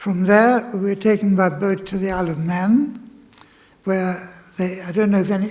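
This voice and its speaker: In a German accent, this voice has a dark, mellow tone and a moderate pace. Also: man. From Germany. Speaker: Holocaust refugee speaker. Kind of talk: testimony. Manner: halting.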